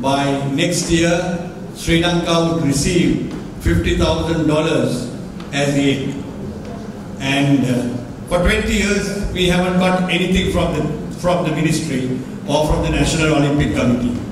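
Speaking very slowly, a man uses ordinary pitch variation amid noticeable background noise and strong room echo. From Sri Lanka. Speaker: national boxing association president. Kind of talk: press conference. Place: hall. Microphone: podium.

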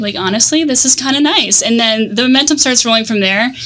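Someone speaks very fast with an American accent. The intonation is lively. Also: woman. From US South, Tampa, Florida. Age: 20s. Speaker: marketing agency co-founder; podcast guest. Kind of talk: casual interview. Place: studio. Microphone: studio mic.

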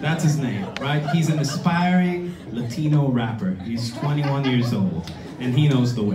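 Over noticeable background noise, a man talks at a moderate pace with a fairly high pitch and very wide pitch swings. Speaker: storyteller; musician. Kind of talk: live storytelling, comedic personal anecdote. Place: stage. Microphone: camera far.

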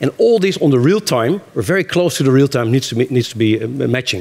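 Very fast speech comes from a man. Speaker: conference presenter. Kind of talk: conference talk. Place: stage. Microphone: headset.

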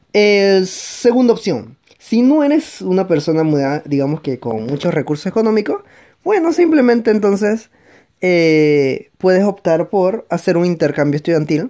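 The speaker goes at a fairly slow pace against a quiet background. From Panama. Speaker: video blogger. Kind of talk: casual vlog advice. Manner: hesitant, many fillers. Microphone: phone near.

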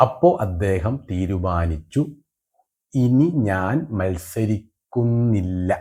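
Lively intonation marks this man's fairly low-pitched voice, which has a dark, mellow tone. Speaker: political satire commentator. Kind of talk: satirical monologue.

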